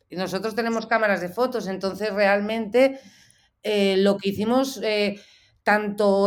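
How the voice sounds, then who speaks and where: A medium-pitched woman at a fairly slow pace, on a very clean recording with a silent background. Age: 40s. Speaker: photojournalist. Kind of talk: interview. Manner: halting.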